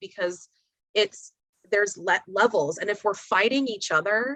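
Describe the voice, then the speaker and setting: A woman speaks loudly in a bright, sharp tone, with a dry, close sound and no echo. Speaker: attorney. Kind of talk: casual chat.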